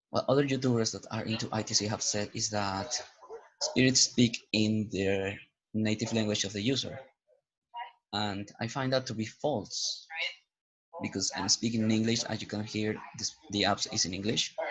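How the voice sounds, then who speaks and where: Speaking with a Spanish accent, a man at medium pitch keeps a moderate pace and fairly even intonation, with long, frequent pauses. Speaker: YouTuber reviewing paranormal apps. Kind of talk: casual vlog commentary. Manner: hesitant, rambling.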